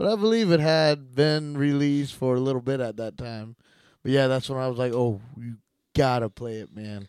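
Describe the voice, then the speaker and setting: A man talks at a moderate pace in a plain, everyday voice, pitched in the middle range with ordinary variation. His loudness swings widely. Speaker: podcast co-host. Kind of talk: casual chat.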